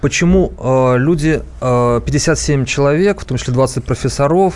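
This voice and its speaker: Noticeable background noise sits behind the speaker. A man talks very slowly with ordinary pitch variation. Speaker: co-host, newsroom politics editor. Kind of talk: radio talk show discussion. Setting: radio studio.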